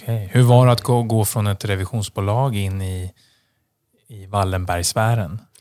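His voice is a fairly low male pitch with a dark, mellow tone and fairly even intonation at a moderate pace. The recording is very clean with a silent background. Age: 30s. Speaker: podcast host. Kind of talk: podcast interview.

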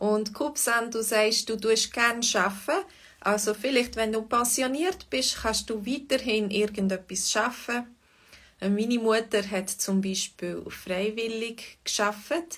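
Speaking at a very slow pace, a woman uses a fairly high pitch. Her pitch variation is ordinary. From Switzerland, Fribourg. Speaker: Swiss German language teacher. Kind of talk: livestream language lesson chat. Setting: online livestream. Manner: hesitant, many fillers.

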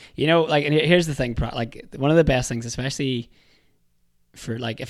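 A man talks at a very fast pace in a Northern Irish accent. The recording is very clean, with a silent background. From Northern Ireland. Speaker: podcast guest. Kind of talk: casual chat.

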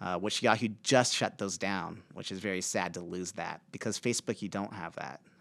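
A man with a plain, everyday voice at a moderate pace, showing ordinary pitch variation. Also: very clean recording, silent background. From Nebraska, rural Aurora. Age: 40s. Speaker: speaker and author. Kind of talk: interview conversation.

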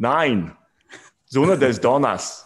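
A man puts on a raspy character voice at a medium pitch, his intonation lively.

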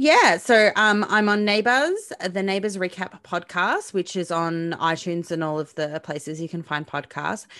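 A woman's bright, sharp tone at a moderate pace, with hardly any pauses, ordinary pitch variation and a quiet background. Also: medium pitch for a woman. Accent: Australian. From Melbourne, Australia. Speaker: podcaster. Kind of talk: casual chat.

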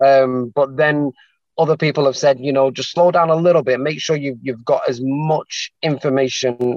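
Here a man speaks in a Mancunian accent at a medium pitch. The pace is moderate, and the sound is dry and close with no echo. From Manchester, England. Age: 40s. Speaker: salesman, aspiring property investor. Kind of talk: consultation call. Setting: call. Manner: halting.

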